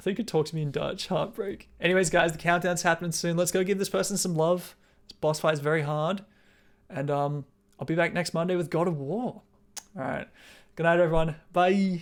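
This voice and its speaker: The speaker talks at a fairly quick pace with an Australian accent. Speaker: video game streamer. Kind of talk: casual live stream chat. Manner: casual, loose and chatty.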